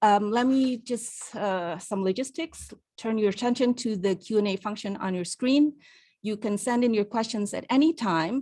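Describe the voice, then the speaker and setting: A woman with a normal speaking voice talks at a moderate pace and fairly high pitch. Her pitch variation is ordinary. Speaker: webinar moderator. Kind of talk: webinar introduction. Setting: online webinar.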